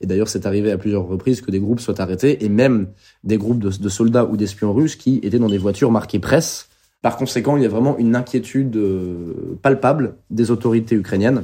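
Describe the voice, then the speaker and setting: A man talks at a fairly quick pace with a dark, mellow tone. His voice sits fairly low, with ordinary pitch variation. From France, Bordeaux. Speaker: war correspondent. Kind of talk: interview. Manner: halting.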